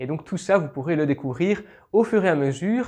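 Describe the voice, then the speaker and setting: Against a quiet background, a man with a Belgian accent speaks at a moderate pace and a high pitch. His tone is dark and mellow, with lively intonation. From Belgium. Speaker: YouTuber, history and legends channel. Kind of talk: casual Q&A video. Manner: hesitant, many fillers.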